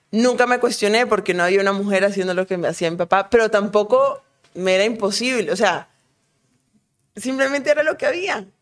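Ordinary pitch variation and a fairly quick pace in an unremarkable speaking voice. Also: woman, medium pitch for a woman. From Colombia, Cali; childhood moved often abroad. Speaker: professional footballer. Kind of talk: casual interview.

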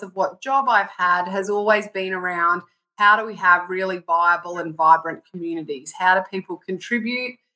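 Here a woman talks with a rural Australian accent. Her tone is bright and sharp, and her pace is moderate. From southwest Queensland, Australia. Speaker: consultant and rural business advocate. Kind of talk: casual interview chat. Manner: animated.

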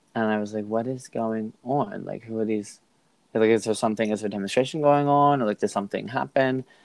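A man with an American accent speaks at a fairly quick pace in a medium pitch. It is a normal speaking voice with ordinary pitch variation. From United States. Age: 30s. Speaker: podcast co-host, former teacher in China. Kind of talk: casual chat.

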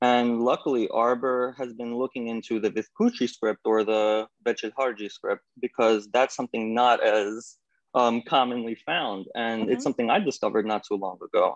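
With a New York accent, a man talks at a moderate pace with fairly even intonation and hardly any pauses, in a dry, close sound with no echo. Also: medium pitch for a man. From New York, US. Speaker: graphic artist. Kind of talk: interview.

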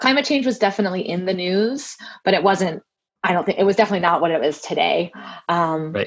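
Talking at a very fast pace, a woman uses a medium pitch and lively intonation. She has an American accent. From Southern California. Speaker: climate scientist. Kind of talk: casual chat.

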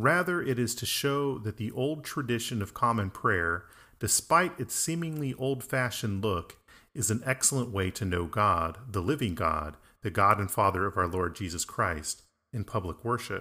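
Bright and sharp in tone, a man talks at a medium pitch and a moderate pace. His pitch swings very widely. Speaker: Anglican priest. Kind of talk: casual conversation. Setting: remote call.

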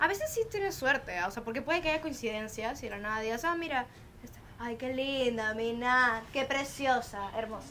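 High pitch for a woman, lively intonation and a moderate pace. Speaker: podcast host. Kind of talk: casual chat. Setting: outdoor home terrace.

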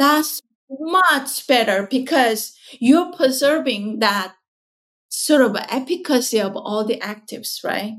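With a Korean accent, a woman talks at a very slow pace in a high pitch with lively intonation. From South Korea. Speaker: skincare company founder and scientist. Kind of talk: interview conversation. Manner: halting, with fillers.

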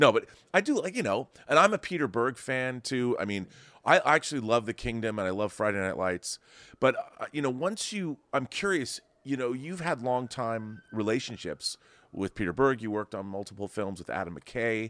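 Recorded very cleanly with a silent background, a man with an unremarkable speaking voice and a medium pitch talks at a moderate pace with lively intonation. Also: dry, close sound with no echo. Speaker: podcast host. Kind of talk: interview, casual chat.

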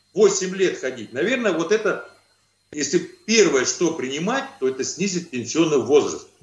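His voice is high for a man, and its pitch swings very widely. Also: moderate pace. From Kazakhstan. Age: 50s. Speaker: trade union official. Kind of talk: video call interview. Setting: video call. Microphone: poor audio, hard to hear.

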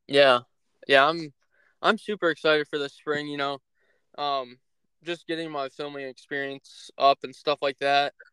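In a Midwestern American accent, the bright, sharp voice stays monotone and flat, broken by long, frequent pauses. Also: man, fairly high pitch for a man, moderate pace, dry, close sound with no echo. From Northeast Ohio. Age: young. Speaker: hunting content creator and podcast host. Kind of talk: casual chat. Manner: halting, many filler words.

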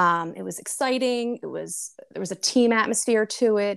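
At a fairly slow pace, a woman speaks in an unremarkable speaking voice with ordinary pitch variation. The recording is very clean with a silent background, and the sound is dry and close with no echo. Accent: American. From US Northeast, New Jersey. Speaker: direct sales entrepreneur, former pharma professional. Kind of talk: casual interview.

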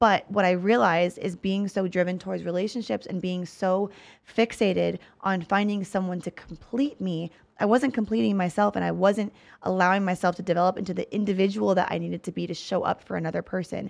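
In front of a quiet background, a woman with an ordinary speaking voice talks at a fairly quick pace. Her medium pitch shows ordinary variation. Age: 30s. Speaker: podcast host. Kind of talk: casual chat.

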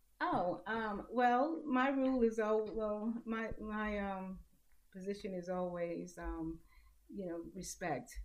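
A woman speaks at a very slow pace in a medium pitch, with ordinary pitch variation. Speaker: writer and columnist. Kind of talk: casual chat. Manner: halting; calm.

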